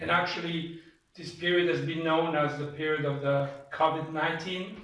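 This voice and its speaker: Speaking with a French accent, a man has a fairly high pitch and a monotone, flat intonation. He talks at a fairly slow pace, and there is audible room echo. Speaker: church host interviewer. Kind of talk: church testimony interview, interpreted. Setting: in a private home. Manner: halting, with many filler sounds.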